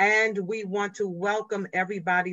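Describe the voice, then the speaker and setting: A woman's bright, sharp tone comes at a fairly slow pace, with a dry sound, no echo and a quiet background. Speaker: pastor hosting prayer vigil; host pastor. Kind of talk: worship and praise leading; church service hosting. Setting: livestream on social media. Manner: exuberant, repeating hallelujah. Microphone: video call.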